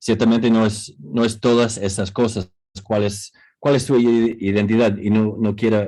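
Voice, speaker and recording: A man with an English accent speaks in a dark, mellow tone, his intonation monotone and flat and his loudness very even. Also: medium pitch for a man, fairly slow pace. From New York, US. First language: English (speaking Spanish). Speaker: academic, book co-author. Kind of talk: panel discussion. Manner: halting.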